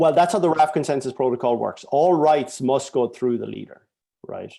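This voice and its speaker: With vocal fry and a dark, mellow tone, a man talks at a fairly quick pace in a fairly high pitch. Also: ordinary pitch variation, big swings in loudness. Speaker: software engineer presenting his database. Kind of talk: tech talk with live demo. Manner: fast.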